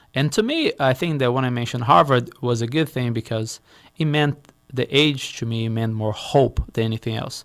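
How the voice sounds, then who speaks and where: Here a man talks at a moderate pace and a medium pitch. His pitch varies in an ordinary way. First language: Portuguese. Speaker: real estate investor, company founder. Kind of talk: interview. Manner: halting, repeats words.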